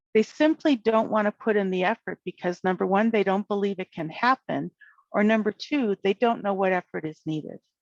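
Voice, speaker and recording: A woman talks at a fairly quick pace with ordinary pitch variation in a plain, everyday voice, the sound dry and close with no echo. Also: medium pitch for a woman. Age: 60s. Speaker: retired special educator, conference presenter. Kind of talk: lecture. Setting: virtual conference presentation.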